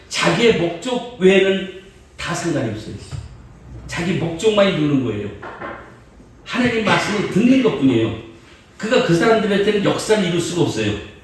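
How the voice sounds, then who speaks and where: A man with a high voice speaks with very wide pitch swings and long, frequent pauses. Noticeable background noise and audible room echo fill the recording. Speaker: guest preacher. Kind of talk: sermon. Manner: fast.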